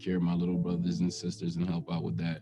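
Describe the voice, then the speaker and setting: A man's very deep, low voice over music in the background. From Jamaica. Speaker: testimonial speaker, former street dealer. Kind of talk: personal testimony. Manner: halting, with fillers.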